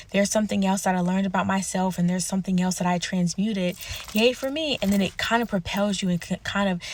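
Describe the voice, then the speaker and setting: A woman's somewhat breathy voice at a medium pitch, with monotone, flat intonation. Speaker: self-help vlogger. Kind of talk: personal vlog monologue.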